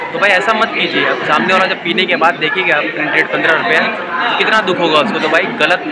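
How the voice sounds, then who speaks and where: Crowd noise sits in the background as a man speaks. He holds a moderate pace with hardly any pauses. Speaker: train travel vlogger. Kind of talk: casual vlog chat. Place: station. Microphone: phone near.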